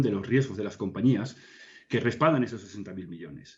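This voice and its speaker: Someone speaks at a fairly quick pace with ordinary pitch variation. The voice is somewhat breathy. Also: man. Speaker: consulting executive, guest. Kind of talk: interview answer.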